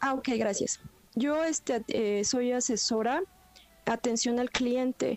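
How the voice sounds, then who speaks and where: Very slow, very evenly loud speech from a high-voiced woman with a Mexican accent and fairly even intonation. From Mexico. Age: 40s. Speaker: caller. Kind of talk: testimony. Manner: halting.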